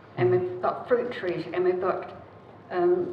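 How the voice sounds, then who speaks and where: Audible room echo surrounds a woman's voice. Light background noise is also present. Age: 80s+. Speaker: submitter at council hearing. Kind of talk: casual chat. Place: meeting room. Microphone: podium.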